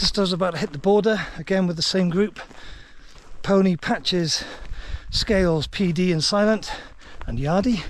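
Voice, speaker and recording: A man speaks with a Welsh accent. His pitch is high. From Wales. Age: 50s. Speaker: long-distance hiker vlogger. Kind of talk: vlog narration. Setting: outdoors on a hiking trail.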